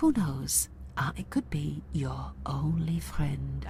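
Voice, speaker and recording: Very slow and calm, a put-on character voice speaks at a very deep, low pitch. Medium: video game. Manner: calm, patronizing, calls others dear.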